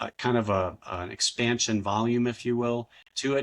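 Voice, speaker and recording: A man's medium-pitched voice comes through against a quiet background. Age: 60s. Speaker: author. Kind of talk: interview.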